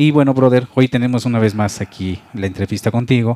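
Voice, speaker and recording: Dark and mellow in tone, a man speaks at a fairly quick pace. The background is quiet and the sound is dry, with no echo. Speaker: web show host. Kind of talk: casual interview. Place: home room. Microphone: handheld.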